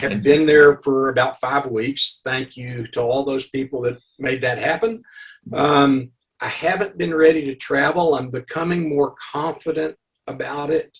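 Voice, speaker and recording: This speaker has an Arkansas accent and talks at a fairly slow pace with ordinary pitch variation. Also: man, fairly high pitch for a man. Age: 70s. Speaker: underwater photographer and author. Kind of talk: interview. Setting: video call.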